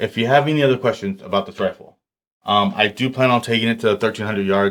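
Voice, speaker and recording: A man talks at a medium pitch with ordinary pitch variation on a very clean recording with a silent background. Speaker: firearms reviewer. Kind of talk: product review. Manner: fast; casual, many fillers.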